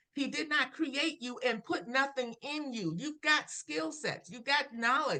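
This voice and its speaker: A woman's raised, projected voice, high-pitched with a bright, sharp tone, lively intonation, big swings in loudness, a fairly slow pace and hardly any pauses. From Brooklyn, New York. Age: 60s. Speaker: life coach. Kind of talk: interview.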